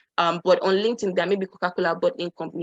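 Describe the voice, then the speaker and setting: At a very fast pace, a woman talks in a dry, close sound with no echo. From Nigeria. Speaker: career and LinkedIn speaker. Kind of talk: online workshop presentation. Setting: virtual session. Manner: animated.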